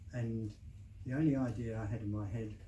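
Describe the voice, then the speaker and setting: A man speaks at medium pitch with a dark, mellow tone that is somewhat breathy. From southeast England. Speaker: novelist. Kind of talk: interview answer.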